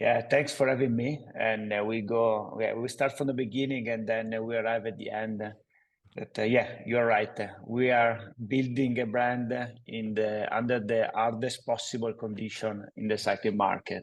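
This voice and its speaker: This man has a medium pitch and a monotone, flat intonation. He talks at a moderate pace. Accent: Italian. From Italy, Padova (northeast). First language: Italian. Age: 40s. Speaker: cycling footwear entrepreneur. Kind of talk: interview. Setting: studio. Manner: halting, many fillers.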